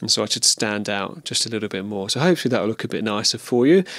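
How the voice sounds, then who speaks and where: A man speaks in a soft-spoken way. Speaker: video podcast host. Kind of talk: casual monologue. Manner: soft, even level close to mic; hesitant with ums.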